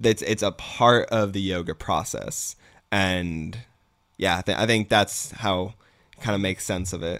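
Captured on a very clean recording with a silent background, a man with an unremarkable speaking voice talks fairly slowly, with fairly low pitch and fairly even intonation. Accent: American. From Massachusetts. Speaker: yoga instructor. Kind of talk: casual chat.

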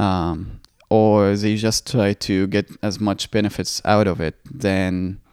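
A man with an Arabic accent speaks at a very slow pace in a fairly low pitch with fairly even intonation, on a very clean recording with a silent background. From Egypt (Cairo). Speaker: Olympic swimmer. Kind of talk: interview.

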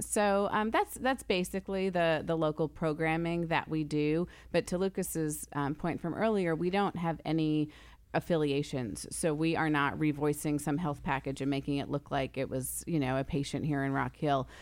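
With an American accent, a woman speaks at a moderate pace in a very deep, low voice, her pitch varying normally and her loudness very even, on a very clean recording with a silent background. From New York / New Jersey area. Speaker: TV news director and anchor. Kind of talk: casual chat.

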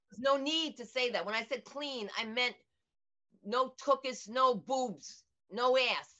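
A woman's high voice with a bright, sharp tone at a fairly slow pace. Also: ordinary pitch variation. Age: old. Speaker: stand-up comedian. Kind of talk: casual interview. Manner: animated.

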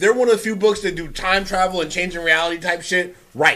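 A man speaks at a fairly quick pace in a raised, projected voice. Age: 30s. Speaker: comic book podcast host. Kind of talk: casual chat.

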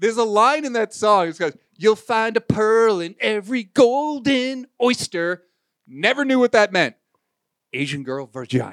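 Sounding animated, a man speaks at a moderate pace in a high voice with very wide pitch swings, the sound dry and close with no echo. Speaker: podcast host. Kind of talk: casual chat.

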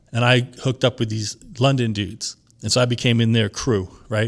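A man with a New York accent, in a very clean recording with a silent background. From New York, Long Island. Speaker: DJ. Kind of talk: casual chat.

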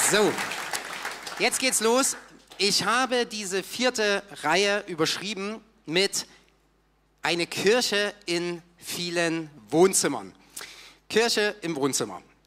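Raising and projecting his high-pitched voice, a man speaks at a very slow pace with long, frequent pauses and a bright, sharp tone. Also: ordinary pitch variation. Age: 30s. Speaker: church volunteer and teacher. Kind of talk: sermon.

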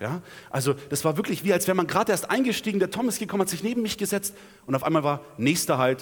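A man speaks at a very fast pace in a high voice, his pitch swinging very widely. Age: 20s. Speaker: preacher. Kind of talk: sermon. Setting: church.

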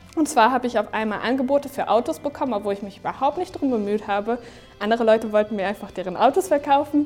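Music plays in the background as a woman talks at a very fast pace. Her high voice has lively intonation. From Germany, Neumünster area. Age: 20s. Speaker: young church volunteer. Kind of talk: testimony.

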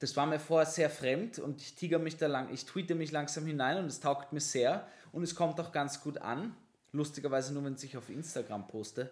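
Here a man uses a normal speaking voice with a fairly high pitch. He keeps a moderate pace and ordinary pitch variation. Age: 20s. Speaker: podcast host. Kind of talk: casual chat. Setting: studio.

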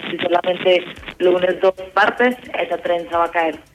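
A woman's voice over noticeable background noise. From Colombia, Medellín. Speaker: university student. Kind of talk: casual chat.

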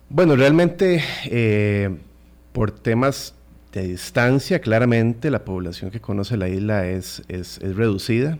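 Here a man speaks at a medium pitch and a fairly slow pace. His intonation is lively. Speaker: marine park conservation official. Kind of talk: radio interview. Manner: halting.

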